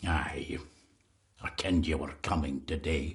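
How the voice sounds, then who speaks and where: Putting on a character voice in a Scottish accent, a man growls out raspy, very deep, low-pitched lines at a moderate pace. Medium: video game. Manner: terse, ominous.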